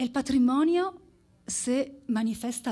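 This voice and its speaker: A woman's somewhat breathy voice carries a dark, mellow tone and ordinary pitch variation. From Italy. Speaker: anthropologist; speaker. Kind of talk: conference presentation. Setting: stage with audience. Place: stage. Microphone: podium.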